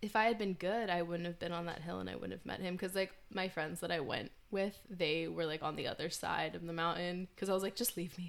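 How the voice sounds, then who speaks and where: A woman's fairly low voice with vocal fry, fairly even intonation and a fairly quick pace with hardly any pauses. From Northern Virginia. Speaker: podcast host. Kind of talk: casual chat.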